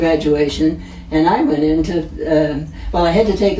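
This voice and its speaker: A woman with an American accent, amid audible room echo and noticeable background noise. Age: 90s. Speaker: retired nurse, florist family member. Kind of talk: oral history interview. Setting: at her home.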